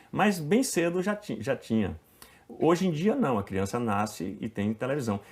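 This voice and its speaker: At a fairly slow pace, a man talks at a medium pitch with very wide pitch swings. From Bahia, Brazil (Itabuna). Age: 50s. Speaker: actor. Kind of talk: casual interview.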